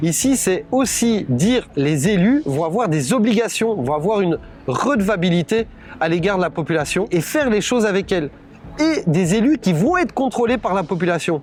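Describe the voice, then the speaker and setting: With a Brussels accent, a man speaks at a high pitch with very wide pitch swings and very even loudness, over noticeable background noise. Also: moderate pace. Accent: Belgian French, Brussels. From Belgium, Brussels (Anderlecht). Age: 40s. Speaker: political candidate. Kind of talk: campaign presentation. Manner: hesitant, many fillers.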